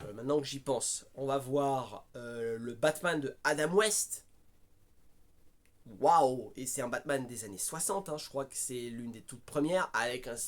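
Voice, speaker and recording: A man is speaking. His delivery is fairly slow. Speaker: film reviewer. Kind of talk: casual film review monologue. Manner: raised voice, agitated.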